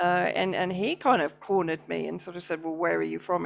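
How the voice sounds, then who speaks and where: A woman with a British accent. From Britain. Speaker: independent journalist and interviewer. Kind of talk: interview conversation.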